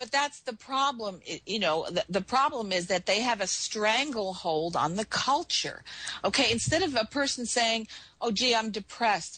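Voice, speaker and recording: Fairly high in pitch, a woman speaks at a moderate pace with lively intonation. Hers is a plain, everyday voice. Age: 60s. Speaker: former intelligence asset, talk radio guest. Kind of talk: talk radio discussion. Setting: radio show.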